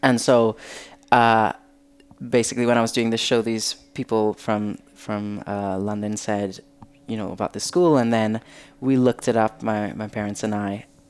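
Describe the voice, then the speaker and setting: Music plays behind a man speaking at a moderate pace. His pitch is fairly low, and his intonation stays fairly even. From Trinidad. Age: 20s. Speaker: professional dancer and performer. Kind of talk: casual chat. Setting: at home.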